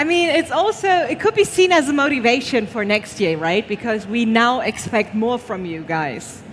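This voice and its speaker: The voice moves at a moderate pace with very wide pitch swings and hardly any pauses. Background noise is noticeable. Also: woman, high pitch for a woman. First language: not English. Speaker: awards show presenter. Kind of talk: live award ceremony hosting. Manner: halting.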